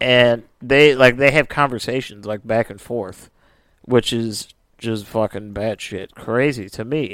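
A man's medium-pitched, normal speaking voice at a fairly slow pace, with fairly even intonation, big swings in loudness, and a very clean recording over a silent background. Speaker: podcast co-host. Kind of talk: casual podcast chat retelling a case. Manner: casual, laughs often.

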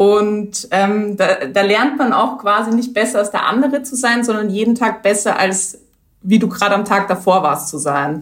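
At a moderate pace, a woman talks in a medium pitch with ordinary pitch variation, a plain, everyday voice. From Austria, Vienna region. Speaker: entrepreneur, HR manager. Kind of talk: interview.

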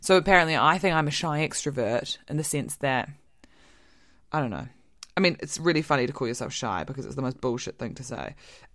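A woman with a very deep, low pitch and vocal fry talks at a very fast pace in an animated tone, with ordinary pitch variation. Her loudness swings widely, and the recording is very clean with a silent background. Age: 20s. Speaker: podcast co-host. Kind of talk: casual chat.

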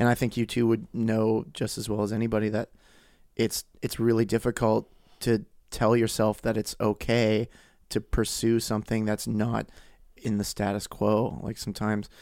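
Recorded very cleanly against a silent background, a man speaks at a moderate pace. His medium-pitched delivery is monotone and flat. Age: 30s. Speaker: podcast guest. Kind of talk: casual chat.

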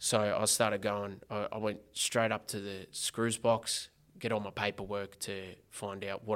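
In an Australian accent, a man talks at a moderate pace with a fairly low pitch and flat, monotone intonation, on a very clean recording with a silent background. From Australia, Geelong (Corio), Victoria. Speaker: former prisoner turned social entrepreneur. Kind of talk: casual interview chat.

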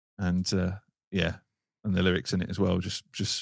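A man with a very deep, low pitch speaks with fairly even intonation in a dry, close sound with no echo. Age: 30s. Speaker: social media creator. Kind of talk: casual chat.

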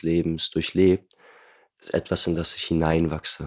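Monotone, flat delivery at a moderate pace on a very clean recording with a silent background. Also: man. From Germany, Hamburg. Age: 20s. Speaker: osteopath. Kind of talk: casual chat.

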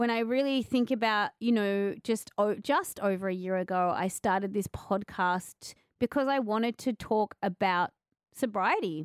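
A woman with an Australian accent speaks at a medium pitch and a moderate pace, with very even loudness. The recording is very clean, with a silent background. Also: ordinary pitch variation, dry, close sound with no echo. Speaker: podcast host and author. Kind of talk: casual interview chat. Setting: radio station.

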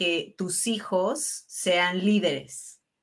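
In a very clean recording with a silent background, a woman speaks at a medium pitch with a bright, sharp tone. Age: 40s. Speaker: podcast host. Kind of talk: interview conversation.

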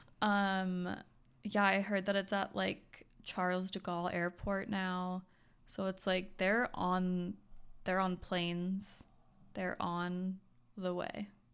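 Using a flat monotone, a woman with an American accent talks at a very slow pace and a medium pitch. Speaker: podcast co-host. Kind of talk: casual chat. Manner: joking, casual.

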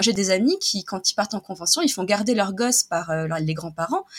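A woman of medium pitch at a fairly quick pace, ordinary pitch variation, with noticeable background noise. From France, Nice hinterland. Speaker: illustrator. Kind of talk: casual interview.

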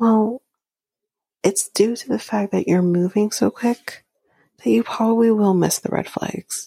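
A somewhat breathy, dark, mellow voice at a fairly slow pace, fairly even in intonation, with long, frequent pauses and a dry, close sound with no echo. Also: woman. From Canada. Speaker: podcast host. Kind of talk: casual recap commentary.

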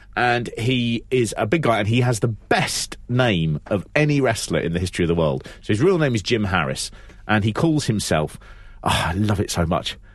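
Speaking with a London accent at a fairly quick pace, a man uses a medium pitch with very wide pitch swings and very even loudness. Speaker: wrestling podcast co-host. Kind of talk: casual chat.

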